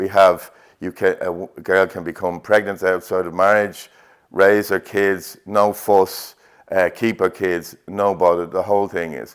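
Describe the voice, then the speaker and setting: A man with a Dublin accent speaks fairly slowly in a very deep, low, flat monotone, in a very clean recording with a silent background. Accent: Dublin Irish. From Ireland, north Dublin. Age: 60s. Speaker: painter. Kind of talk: interview. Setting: art exhibition. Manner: halting, with fillers.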